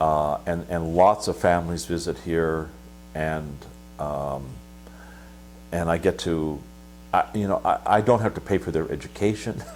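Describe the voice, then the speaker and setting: Pausing long and often, a man with a very deep, low voice speaks at a fairly slow pace with ordinary pitch variation. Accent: Pacific Northwest. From US Pacific Northwest (Washington, northern Idaho). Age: 60s. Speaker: monastic abbot. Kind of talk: interview. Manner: halting, many fillers.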